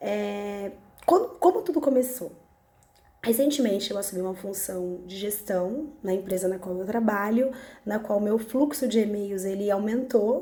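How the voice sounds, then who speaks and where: Her medium pitch shows ordinary variation as the woman speaks fairly slowly with big swings in loudness. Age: 30s. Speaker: vlogger. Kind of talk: personal testimony vlog. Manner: halting, with false starts.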